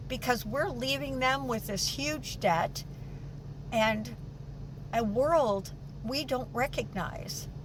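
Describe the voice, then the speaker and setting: With an American accent, a woman talks at a very slow pace and a medium pitch, her pitch swinging very widely between long, frequent pauses, while noticeable background noise and audible room echo fill the recording. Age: 70s. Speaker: vlogger. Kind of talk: personal vlog monologue. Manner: halting.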